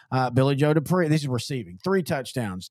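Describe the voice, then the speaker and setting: A man with an American accent talks at a fairly quick pace in a normal speaking voice. His pitch is fairly high and his intonation lively. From Texas. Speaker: sports podcast host. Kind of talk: casual chat.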